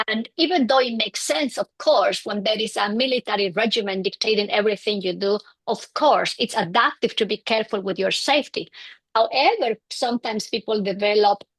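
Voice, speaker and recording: A woman with a Bolivian accent at a fairly high pitch, moderate in pace with ordinary pitch variation, in a dry, close sound with no echo. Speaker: clinical psychologist. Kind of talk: interview. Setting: in person with host.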